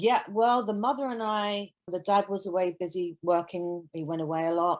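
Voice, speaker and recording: A woman with a British accent speaks at medium pitch with ordinary pitch variation over a quiet background. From London, England. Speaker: nanny. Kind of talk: casual chat.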